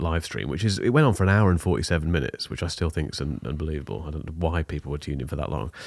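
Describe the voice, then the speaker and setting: A very fast-talking man with a very deep, low pitch, vocal fry and ordinary pitch variation. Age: 40s. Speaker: tech podcast host. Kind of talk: casual chat. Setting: video call.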